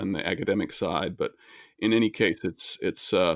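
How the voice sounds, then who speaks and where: In a very clean recording with a silent background and a dry, close sound with no echo, a man speaks fairly slowly at a fairly low pitch. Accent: American. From US, early childhood in Switzerland. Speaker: video game composer. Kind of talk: casual interview conversation. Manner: halting, many fillers and repeats.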